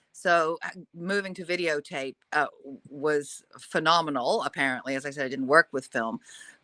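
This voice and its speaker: A woman's very deep, low voice with a bright, sharp tone, ordinary pitch variation, big swings in loudness, a moderate pace and hardly any pauses, in a dry, close sound with no echo. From Australia. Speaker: TV news anchor. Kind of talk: interview.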